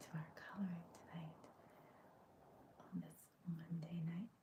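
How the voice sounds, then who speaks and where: Whispering and soft-spoken, the voice moves at a fairly slow pace with long, frequent pauses. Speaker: coloring video creator. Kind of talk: coloring tutorial chat.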